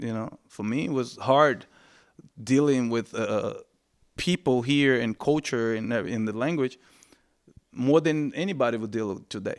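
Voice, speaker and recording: The speaker has a Brazilian accent, a moderate pace with long, frequent pauses, and ordinary pitch variation on a very clean recording with a silent background. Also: man, medium pitch for a man. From Brazil, Salvador, Bahia. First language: Portuguese. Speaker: reggae singer. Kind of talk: interview conversation.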